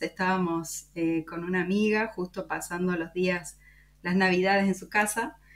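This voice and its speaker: A woman speaks at a medium pitch. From Córdoba, Argentina. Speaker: podcast host. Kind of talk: interview.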